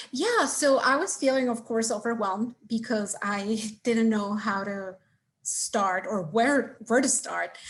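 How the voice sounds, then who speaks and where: A woman with a Spanish accent speaks in a fairly high pitch with a somewhat breathy voice. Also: ordinary pitch variation, fairly slow pace. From Mexico City. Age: 20s. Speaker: MBA applicant. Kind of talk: interview. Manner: halting.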